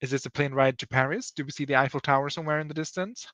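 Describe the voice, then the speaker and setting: In a bright, sharp tone and a non-native accent, a man talks at a very fast pace, the sound dry and close with no echo over a quiet background. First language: not English. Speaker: livestream host. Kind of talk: casual livestream chat. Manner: casual, rambling.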